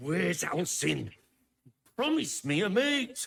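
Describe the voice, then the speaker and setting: Using a put-on character voice, a man speaks at a high pitch, raspy and at a fairly slow pace. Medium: video game.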